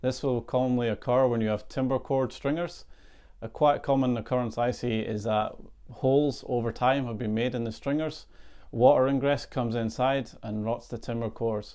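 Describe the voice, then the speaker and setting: In a Scottish accent, a man speaks with a dark, mellow tone at medium pitch, keeping a moderate pace and fairly even intonation. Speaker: boat surveyor. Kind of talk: tutorial.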